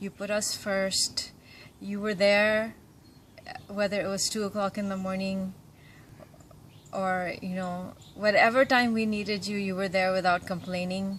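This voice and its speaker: A woman with a medium pitch and somewhat breathy voice speaks at a fairly slow pace in a monotone, flat intonation, with long, frequent pauses. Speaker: son or daughter. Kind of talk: birthday tribute message.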